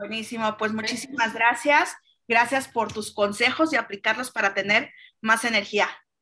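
Speaking at a moderate pace with a Mexican accent, a woman uses a fairly high, bright, sharp voice with fairly even intonation. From Mexico. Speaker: podcast host. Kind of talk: interview.

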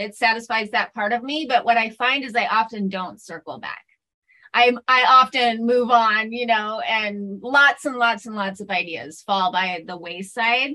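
Her tone bright and sharp, a woman with a fairly high pitch speaks at a fairly slow pace with big swings in loudness. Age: 40s. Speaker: podcaster and writer. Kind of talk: interview.

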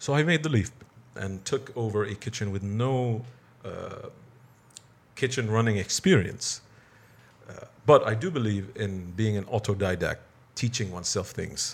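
A somewhat breathy man at medium pitch, moderate pace, ordinary pitch variation, and long, frequent pauses. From Bahrain. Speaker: cafe owner and perfumer. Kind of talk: casual interview.

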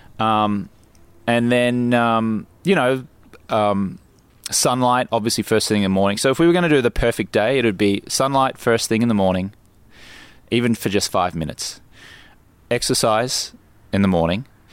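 With an Australian accent, the speaker keeps a moderate pace, ordinary pitch variation and very even loudness, broken by long, frequent pauses. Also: man. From Australia (Brisbane). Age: 40s. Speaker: life coach. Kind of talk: casual chat. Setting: outdoors in a garden.

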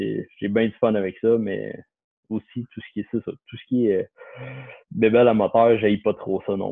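This man has an ordinary speaking voice at a medium pitch, with fairly even intonation. He talks at a fairly slow pace, and his loudness swings widely. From Quebec, Lorraine north of Montreal. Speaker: financial planner. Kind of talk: casual chat.

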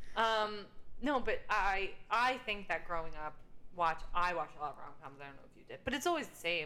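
Very wide pitch swings come through at a fairly quick pace, with audible room echo. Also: woman, medium pitch for a woman. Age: 30s. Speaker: podcast co-host. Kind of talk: casual chat. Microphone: echo on recording.

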